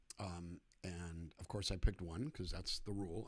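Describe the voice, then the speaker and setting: A man is the speaker. The background is silent and the recording very clean. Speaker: singer-songwriter. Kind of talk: livestream chat between songs. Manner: soft-spoken.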